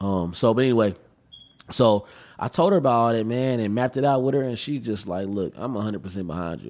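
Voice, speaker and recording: Lively intonation marks a man's plain, everyday voice at a fairly low pitch. He talks at a fairly quick pace. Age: 20s. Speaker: rapper and activist. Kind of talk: casual chat. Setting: studio.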